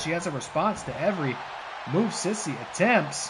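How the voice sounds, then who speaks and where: An excited tone comes across amid noticeable background noise. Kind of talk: play-by-play wrestling commentary. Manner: excited, lively.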